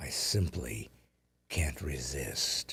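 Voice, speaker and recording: Lively intonation marks this man's speech, which carries vocal fry. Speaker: comedian. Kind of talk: casual chat. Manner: slow, brooding delivery.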